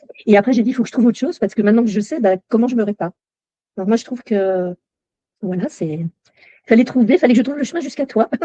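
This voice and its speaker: A woman speaks at a very fast pace with a fairly high pitch, ordinary pitch variation and a dark, mellow tone. The sound is dry and close, with no echo. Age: 60s. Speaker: coaching client sharing her story. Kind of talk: testimony. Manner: halting, with many fillers.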